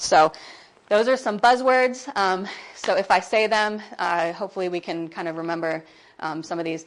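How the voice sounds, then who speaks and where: A woman with an American accent talks at a fairly quick pace in a fairly low pitch. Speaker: workshop speaker for a persecution charity. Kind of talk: seminar talk. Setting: workshop room with audience. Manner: loud.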